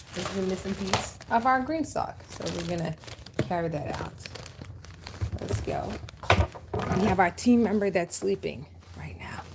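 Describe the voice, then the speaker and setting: There is noticeable background noise as a woman speaks at a moderate pace. Her loudness swings widely, and she takes long, frequent pauses. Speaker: gardening channel host. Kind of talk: casual livestream garden tutorial. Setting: outdoors garden with thunder.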